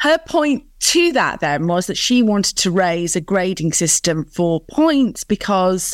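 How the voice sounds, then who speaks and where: This is a woman speaking. She has a northern English accent. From northern England. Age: 40s. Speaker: business founder and CEO.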